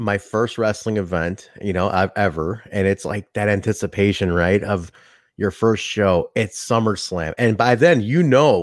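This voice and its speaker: An unremarkable speaking voice comes through at a fairly slow pace on a very clean recording with a silent background. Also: man. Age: 30s. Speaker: wrestling podcaster, indie wrestling worker. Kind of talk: casual chat.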